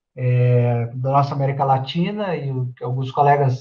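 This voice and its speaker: At a fairly slow pace, a man speaks in a somewhat breathy voice of medium pitch. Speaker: history education professor. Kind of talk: lecture. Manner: halting.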